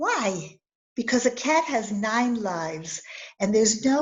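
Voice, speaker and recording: Here is a woman with a plain, everyday voice and an American accent. Her fairly high pitch shows ordinary variation at a moderate pace. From US Midwest, Highland Park, Illinois. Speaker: storyteller. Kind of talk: storytelling. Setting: video call. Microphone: close to the mic, slightly distorted.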